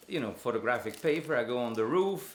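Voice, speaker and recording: There is noticeable background noise as a man talks in a strong Italian accent. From Italy. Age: old. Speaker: photographer. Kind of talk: documentary interview answer. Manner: candid, conversational.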